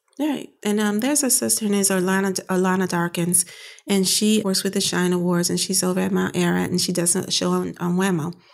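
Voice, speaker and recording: Very even loudness, ordinary pitch variation and a fairly quick pace on a very clean recording with a silent background. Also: woman, medium pitch for a woman. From US Midwest, Chicago South Side. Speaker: arts organizer and activist. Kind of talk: casual interview. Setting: office.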